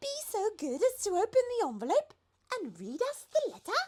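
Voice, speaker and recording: The pitch is extremely high in this put-on character voice. It goes at a moderate pace. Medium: read story. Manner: polite, dignified.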